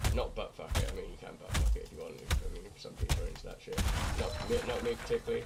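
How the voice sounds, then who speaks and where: Speaking very fast in an extremely high, monotone voice, a man swings widely in loudness over noticeable background noise. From Britain. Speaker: gaming streamer. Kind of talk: casual gameplay commentary. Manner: halting, repetitive. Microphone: microphone problems, filter for background noise.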